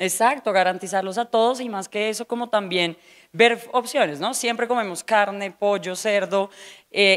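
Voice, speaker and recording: A fairly quick-paced woman's voice over a quiet background. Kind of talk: interview answer. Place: cafe. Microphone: handheld.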